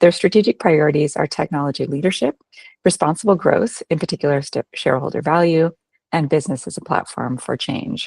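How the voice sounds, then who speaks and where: A woman with a Canadian accent, a very deep, low pitch, ordinary pitch variation and a fairly quick pace, in a dry, close sound with no echo. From Canada. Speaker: HR professional. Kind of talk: presentation. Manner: hesitant with frequent fillers.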